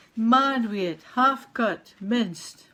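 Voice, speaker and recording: A woman with a Scottish accent, fairly high-pitched, very slow, with lively intonation. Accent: Scots. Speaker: poet. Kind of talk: poetry reading.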